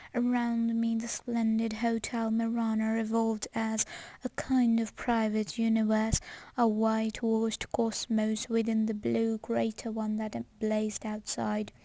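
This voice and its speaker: A somewhat breathy, dark, mellow voice at a fairly slow pace with monotone, flat intonation, on a very clean recording with a silent background. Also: woman, fairly high pitch for a woman. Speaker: ASMR reader. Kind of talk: book reading, ASMR. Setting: home recording with some background noise.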